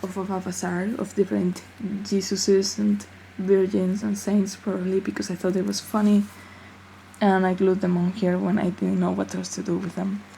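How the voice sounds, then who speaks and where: Mumbling at a moderate pace, a woman with a non-native accent speaks in a monotone, flat intonation. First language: not English. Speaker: amateur artist. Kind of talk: casual talk to camera. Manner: mumbly.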